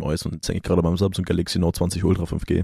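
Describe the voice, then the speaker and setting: The background is silent on this very clean recording. A man rattles along at a very fast pace. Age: 20s. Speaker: podcast co-host. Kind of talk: casual chat.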